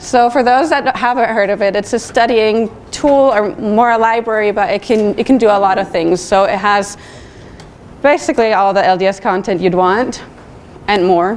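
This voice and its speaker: A woman's voice at a moderate pace, with ordinary pitch variation and very even loudness, amid noticeable background noise. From Switzerland. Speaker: designer. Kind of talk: conference talk. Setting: stage with audience.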